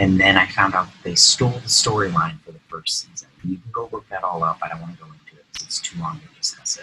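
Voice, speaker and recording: The voice swings very widely in pitch and moves at a fairly quick pace, with noticeable background noise behind it. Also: man. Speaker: YouTube TV and film reviewer. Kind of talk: casual video review. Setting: home recording late at night. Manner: quieter and less energetic than usual.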